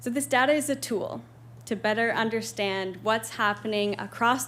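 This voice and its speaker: Her pitch sits in the medium range, with lively intonation. The woman's voice carries an audible room echo. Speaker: presenter on homelessness research. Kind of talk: presentation to town council. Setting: council meeting room with audience. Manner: fast.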